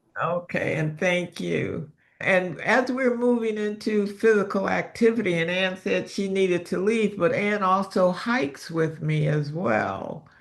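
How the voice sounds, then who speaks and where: A woman talks in a plain, everyday voice with an American accent. Her pace is fairly slow, with hardly any pauses and ordinary pitch variation. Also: medium pitch for a woman. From US Midwest, Detroit. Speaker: health and wellness coach. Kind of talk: online class.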